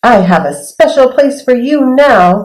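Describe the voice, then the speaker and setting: This is a put-on character voice with a fairly high pitch. The pace is fairly slow. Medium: read story.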